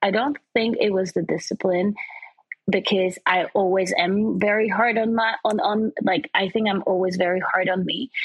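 A woman with an unremarkable speaking voice talks at a moderate pace and medium pitch. Her intonation is fairly even and her loudness very even. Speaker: presenter and fashion model. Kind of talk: casual interview.

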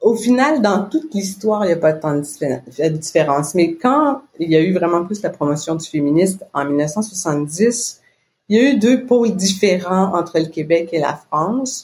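Intonation is lively throughout. The speaker goes fairly slowly with a somewhat breathy voice. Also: woman, medium pitch for a woman. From Quebec. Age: 50s. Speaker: business owner. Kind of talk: casual interview.

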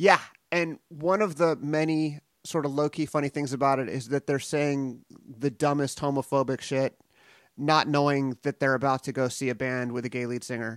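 A man with an American accent has an ordinary speaking voice, fairly high in pitch, with fairly even intonation at a moderate pace, and the sound is dry and close with no echo. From US West Coast, San Pedro, California. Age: 40s. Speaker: podcast host, film interviewer. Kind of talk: interview. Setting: remote call.

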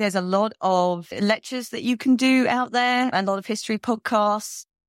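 A woman speaks with a London accent at a medium pitch and ordinary pitch variation. The sound is dry and close, with no echo. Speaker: heritage consultant. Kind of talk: interview. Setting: remote call.

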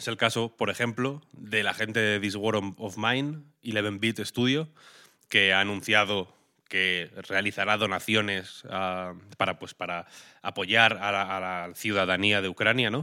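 Speaking at a fairly slow pace, a man with a fairly low pitch uses an unremarkable speaking voice with ordinary pitch variation. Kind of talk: casual news chat.

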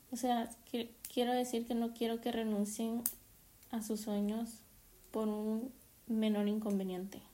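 A woman with a fairly high pitch and a dark, mellow tone speaks fairly slowly and somewhat breathily in a monotone, flat intonation with very even loudness and long, frequent pauses. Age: 20s. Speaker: podcaster and master's student. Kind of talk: casual solo monologue.

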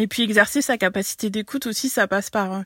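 In a normal speaking voice, a woman talks at a fairly quick pace and fairly high pitch with ordinary pitch variation, the sound dry and close with no echo. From French overseas territory, Breton. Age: 30s. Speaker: local politician and ecology activist. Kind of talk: prepared reaction statement.

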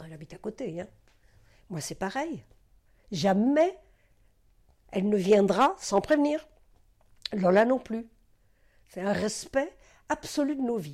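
With a dark, mellow tone, the voice moves at a very slow pace with long, frequent pauses, very wide pitch swings and big swings in loudness on a very clean recording with a silent background. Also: woman, medium pitch for a woman. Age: 80s+. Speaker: retired doctor and psychoanalyst. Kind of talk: personal testimony interview. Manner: halting; emotional.

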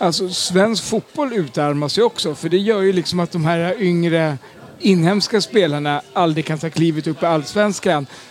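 A man speaks in a high pitch at a moderate pace. His pitch variation is ordinary. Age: 50s. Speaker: football supporter. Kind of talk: interview.

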